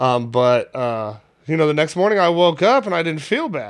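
Lively intonation marks this man's delivery at a moderate pace. He uses a normal speaking voice. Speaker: podcast host. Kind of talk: casual banter podcast. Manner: casual, profane.

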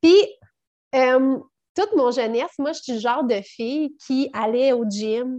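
A woman with a Quebec accent speaks fairly slowly in a high pitch with a dark, mellow tone. The background is quiet. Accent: Québécois French. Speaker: network marketing entrepreneur, mother. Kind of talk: casual interview chat.

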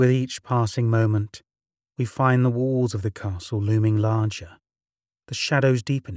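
Recorded very cleanly against a silent background with a dry, close sound and no echo, a man with an unremarkable speaking voice talks at a moderate pace and medium pitch, his intonation fairly even. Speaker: narrator of mystery stories. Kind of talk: dramatic scripted narration of a spooky tale. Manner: theatrical, ominous, measured storytelling delivery; formal, ornate phrasing.

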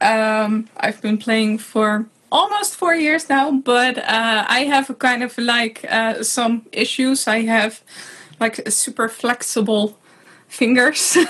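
A woman speaks very slowly with a fairly high pitch, ordinary pitch variation and very even loudness. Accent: Dutch. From Netherlands. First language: Dutch. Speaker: hurdy-gurdy player. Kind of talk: casual chat.

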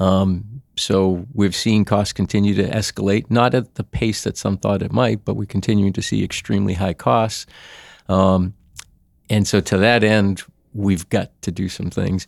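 On a dry, close, very clean recording with no echo and a silent background, a man with a Boston accent speaks at a moderate pace, his fairly low pitch kept in fairly even intonation. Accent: Boston, northern US. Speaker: employee benefits consultant. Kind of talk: casual interview chat.

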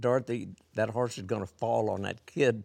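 At a moderate pace, a man with an American accent speaks in a monotone, flat intonation on a very clean recording with a silent background. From Missouri, US Midwest. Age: 80s+. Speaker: horse trainer. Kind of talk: casual interview chat.

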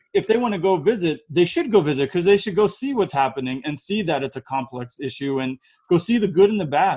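A man with a high pitch and a dark, mellow tone talks at a very fast pace with very wide pitch swings. He has an American accent. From United States. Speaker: podcast host. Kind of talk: interview.

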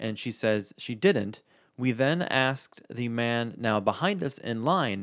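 With ordinary pitch variation, someone is reading aloud in a natural voice.

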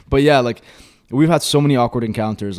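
The recording is very clean with a silent background, and a man speaks at medium pitch. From Egypt, then Milton, Ontario from age 10. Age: 20s. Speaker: YouTuber. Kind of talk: casual chat. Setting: studio.

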